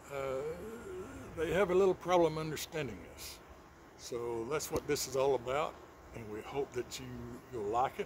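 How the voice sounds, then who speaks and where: In a Texan accent, a man with a fairly high pitch talks at a fairly slow pace in a relaxed tone. His loudness swings widely over light background noise. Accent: Texan drawl. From Texas. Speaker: channel host. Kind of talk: casual talk to camera. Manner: relaxed, hesitant, folksy. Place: garden. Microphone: phone near.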